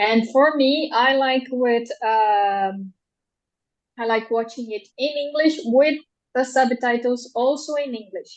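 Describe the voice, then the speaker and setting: The speech comes at a very slow pace with ordinary pitch variation. It carries a Portuguese accent. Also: woman, high pitch for a woman. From Brazil. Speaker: translator. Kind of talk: interview. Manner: halting.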